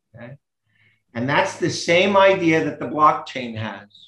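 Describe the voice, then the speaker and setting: Audible room echo around a man's voice. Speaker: remote interview guest. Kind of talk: interview answer. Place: home room. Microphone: webcam.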